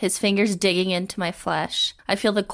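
Fairly even intonation shapes an unforced reading voice.

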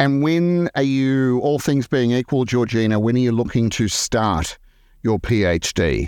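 Against a quiet background, a man with an Australian accent speaks at a medium pitch and a fairly slow pace, his intonation lively and his loudness very even. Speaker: podcast host. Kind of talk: interview.

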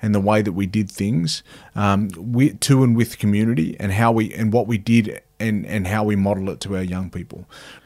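A man with an Australian accent, fairly low in pitch, with fairly even intonation. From Cowra, New South Wales, Australia. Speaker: former rugby league player and boxer, mental health advocate. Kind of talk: casual interview conversation.

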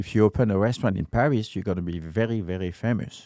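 Recorded very cleanly against a silent background, a man speaks with a French accent. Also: dry, close sound with no echo. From France. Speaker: restaurant owner and chef. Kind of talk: casual interview.

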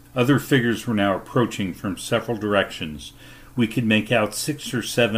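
The clip is plain reading aloud. Words are voiced straight from the page.

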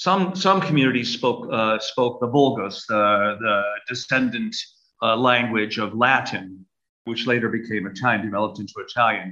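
Moderate pace, lively intonation and a bright, sharp tone from a man with a Brooklyn accent. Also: medium pitch for a man. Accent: American, close to a Brooklyn-born host's. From US Northeast, Brooklyn, New York City. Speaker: Orthodox archbishop. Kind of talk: interview.

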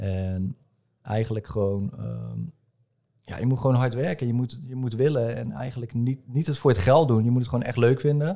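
Dark and mellow in tone, a man's medium-pitched voice moves at a moderate pace with ordinary pitch variation. The recording is very clean, with a silent background. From Netherlands, Rotterdam. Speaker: tattoo artist and entrepreneur. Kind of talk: casual interview. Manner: hesitant, many fillers and repetitions.

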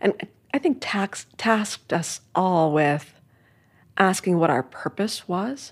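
Over a very clean, silent background, a woman with an American accent speaks fairly slowly with lively intonation. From New York City, Manhattan. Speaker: art history professor. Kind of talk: casual interview.

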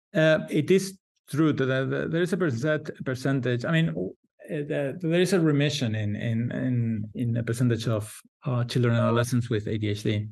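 A man's medium-pitched voice at a fairly quick pace with lively intonation. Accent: Spanish. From Spain. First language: Spanish. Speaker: psychiatrist. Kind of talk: interview. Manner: halting.

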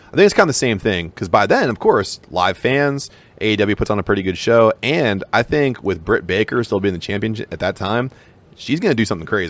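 A man with an unremarkable speaking voice talks at a fairly quick pace, his fairly low pitch carried by lively intonation. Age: 30s. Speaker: podcast co-host. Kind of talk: casual chat.

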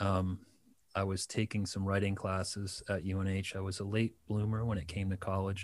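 A man with a normal speaking voice, fairly low in pitch and fairly quick in pace, in a very clean recording with a silent background. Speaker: musician. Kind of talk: casual interview chat. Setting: radio studio.

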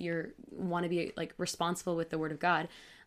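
A woman speaks with a fairly low pitch. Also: very clean recording, silent background. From Michigan. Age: 20s. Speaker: bible teacher. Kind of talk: casual chat.

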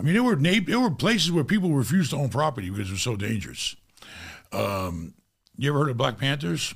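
Speaking very fast in an American accent, a man uses a fairly high pitch with very wide pitch swings and vocal fry. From New York (Rockaway, Queens). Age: 50s. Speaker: real estate investor. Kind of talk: casual interview. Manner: animated.

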